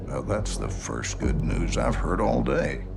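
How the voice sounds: A man puts on a character voice at a fairly low pitch, with big pitch swings and vocal fry. He speaks at a fairly slow pace over clear music in the background.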